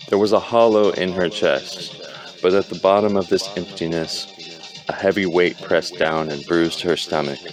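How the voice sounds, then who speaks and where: A man keeps a moderate pace as music plays behind his voice. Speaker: amateur reader. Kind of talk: audiobook reading. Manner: halting, stumbling.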